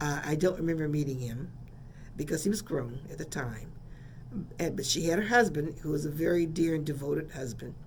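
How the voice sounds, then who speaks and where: A woman speaks in an American accent at a fairly quick pace, her pitch very deep and low. Her pitch varies in an ordinary way, and the room echo is audible. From San Francisco, California. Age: 70s. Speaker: radio host. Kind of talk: radio storytelling. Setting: radio studio.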